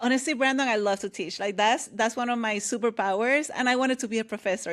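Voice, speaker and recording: Talking at a very fast pace, a woman with a Puerto Rican accent has a fairly high pitch. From Puerto Rico. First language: Spanish. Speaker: author and leadership coach. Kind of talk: interview conversation. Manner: loud, energetic.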